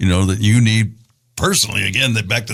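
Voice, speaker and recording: A normal speaking voice from a man, fairly low in pitch with ordinary pitch variation and a fairly quick pace. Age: 60s. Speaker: podcast host, polio survivor, wheelchair user. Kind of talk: casual interview chat.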